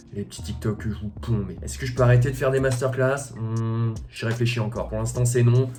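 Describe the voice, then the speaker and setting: A man talks at a fairly quick pace with hardly any pauses, his loudness swinging widely. His pitch sits in the medium range and varies in an ordinary way, with audible echo from the room. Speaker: YouTuber vlogger. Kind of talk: casual vlog chat. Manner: animated.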